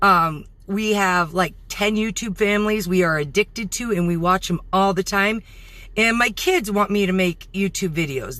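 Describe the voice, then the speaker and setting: Loud and bright with a sharp tone, a woman's medium-pitched voice moves at a moderate pace with ordinary pitch variation, in a very clean recording with a silent background. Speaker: vlogger. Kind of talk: casual vlog talk to camera. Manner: halting, with fillers.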